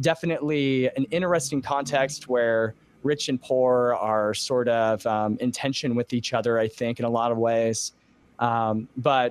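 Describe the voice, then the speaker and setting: The speech moves at a fairly slow pace with fairly even intonation, and the sound is dry with no echo. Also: man. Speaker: pastor, podcaster, interview guest. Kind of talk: interview answer. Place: home room. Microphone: studio mic.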